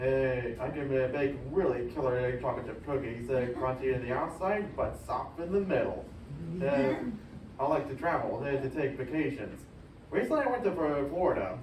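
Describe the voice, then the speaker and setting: A man with an American accent speaks fairly high at a moderate pace, with ordinary pitch variation. Audible room echo and noticeable background noise fill the recording. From Illinois. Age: 30s. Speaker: self-advocate presenter. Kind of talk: prepared presentation. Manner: halting, frequent uh fillers.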